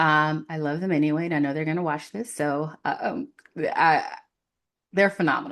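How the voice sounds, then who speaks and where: Her pitch sits very deep and low for a woman, with an American accent. The background is quiet. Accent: New York, comes and goes. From New York City (Queens). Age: 40s. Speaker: career coach. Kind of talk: casual chat. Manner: many fillers and false starts.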